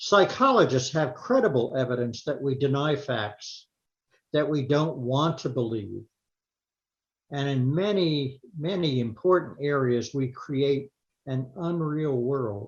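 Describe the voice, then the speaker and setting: A man speaks at a fairly high pitch in a somewhat breathy voice. His pace is fairly slow, and his pitch varies in an ordinary way. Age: 80s+. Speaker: retired psychologist. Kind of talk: lay sermon talk.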